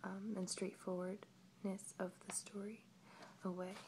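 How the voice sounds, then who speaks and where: Very slowly, a woman speaks in a somewhat breathy voice with monotone, flat intonation. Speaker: ASMR video creator. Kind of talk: ASMR storytelling and book showing. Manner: soft-spoken, whispery, slow.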